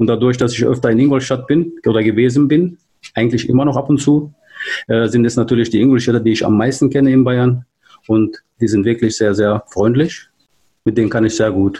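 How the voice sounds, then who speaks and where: A man's somewhat breathy, medium-pitched voice with a Turkish accent and a dark, mellow tone, fairly quick in pace, with fairly even intonation and very even loudness. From Turkey, moved to Germany at 13. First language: Turkish (speaking German). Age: 40s. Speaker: hobby rapper and DJ, car industry employee. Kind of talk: casual interview. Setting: virtual studio, remote call.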